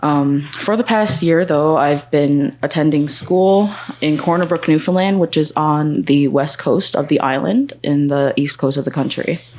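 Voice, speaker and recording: Over noticeable background noise, a woman with a very deep, low pitch talks at a fairly slow pace with hardly any pauses, very even loudness and ordinary pitch variation. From Nunatsiavut, Labrador, northern Canada. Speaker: student panelist. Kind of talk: panel self-introduction. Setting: conference panel with live audience.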